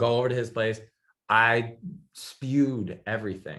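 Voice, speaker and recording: Loud and animated, a man speaks in a bright, sharp tone. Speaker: talk show guest. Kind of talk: casual interview chat.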